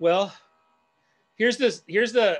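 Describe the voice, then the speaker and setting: Speaking at a fairly quick pace with an American accent, a man uses ordinary pitch variation. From Northeast Los Angeles; Los Angeles. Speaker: community activist and design educator; design educator. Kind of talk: online presentation and Q&A. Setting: video call. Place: home room. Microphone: earbuds.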